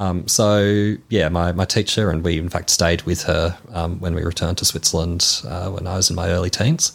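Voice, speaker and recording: A man with very deep, low pitch and fairly even intonation, at a moderate pace with hardly any pauses, on a very clean recording with a silent background. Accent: Australian. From Melbourne, Australia. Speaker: church member. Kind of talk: interview.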